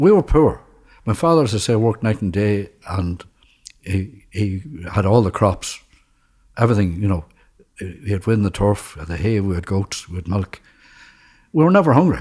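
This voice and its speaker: Lively intonation marks a voice in a rural Northern Irish accent, broken by long, frequent pauses. The recording is very clean, with a silent background. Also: man. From rural Ireland, County Fermanagh. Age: 70s. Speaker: former Irish Army soldier. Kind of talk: life story interview answer.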